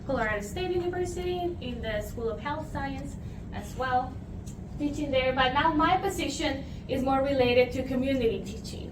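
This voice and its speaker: Amid noticeable background noise and audible room echo, a woman speaks at a moderate pace and high pitch with lively intonation. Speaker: nutrition professor. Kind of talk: lecture. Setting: room with audience, using a mic.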